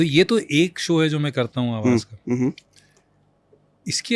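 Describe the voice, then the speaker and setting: In a dry, close sound with no echo, a man talks at a fairly high pitch. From India. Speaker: voice-over artist. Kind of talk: interview answer.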